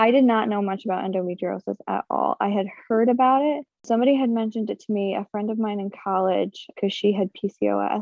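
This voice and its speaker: Using a normal speaking voice, a woman with an American accent talks at a fairly quick pace with hardly any pauses, a medium pitch and fairly even intonation. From upstate New York. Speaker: stay-at-home mom sharing endometriosis story. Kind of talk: interview testimony.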